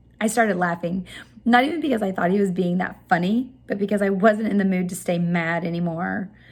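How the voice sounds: What you hear is a natural reading voice whose pitch varies in an ordinary way.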